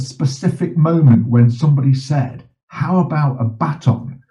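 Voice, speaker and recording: This man has a plain, everyday voice, talking at a fairly slow pace with lively intonation. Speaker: journalist and bereaved father, campaigner. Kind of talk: interview conversation.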